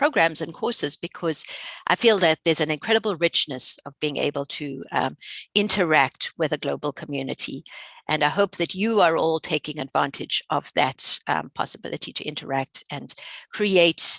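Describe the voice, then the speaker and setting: Against a quiet background, in a dry, close sound with no echo, a woman with a South African accent speaks at a moderate pace with a very deep, low pitch and ordinary pitch variation. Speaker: researcher and instructor. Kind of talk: webinar presentation. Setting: online webinar. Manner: hesitant, many fillers.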